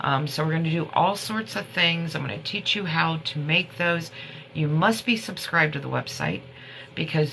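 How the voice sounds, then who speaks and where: Noticeable background noise sits behind a woman speaking at a moderate pace with a very deep, low pitch. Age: 50s. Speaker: herbal remedy livestreamer. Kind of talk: casual livestream chat. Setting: TikTok live stream. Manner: rambling, halting.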